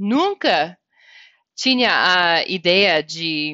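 Lively intonation in a woman's voice with an American accent. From US, Wyoming. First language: English (speaking Portuguese). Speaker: director of a government English language office. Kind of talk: interview. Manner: halting, with fillers and repetitions.

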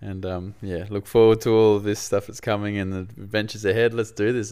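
With an Australian accent, a man rattles along at a very fast pace with hardly any pauses, his fairly low, dark, mellow voice flat and monotone. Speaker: podcast host. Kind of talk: casual chat.

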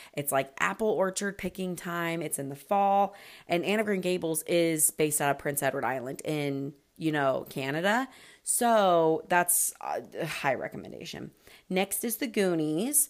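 With a Western US accent, a woman of fairly low pitch speaks at a moderate pace in an animated tone with lively intonation, recorded very cleanly against a silent background. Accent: American, western US. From Utah. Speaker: podcast host. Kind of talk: casual solo podcast chat.

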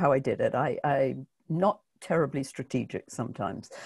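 A woman with a British accent. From Britain. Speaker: book marketing coach. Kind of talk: interview.

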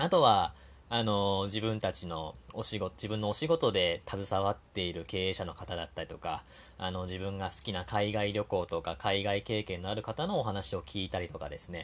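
At a moderate pace and a fairly low pitch, a man speaks in a very clean recording with a silent background. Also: ordinary pitch variation. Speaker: podcast host and labor-law consultant. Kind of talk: solo talk monologue. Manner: conscious of soft, gentle tone; many fillers, hesitant.

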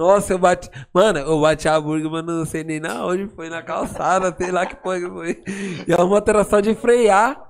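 High-pitched male voice with big swings in loudness, against noticeable background noise. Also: ordinary pitch variation, moderate pace. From São Paulo, São Remo community. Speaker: funk MC. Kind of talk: casual interview.

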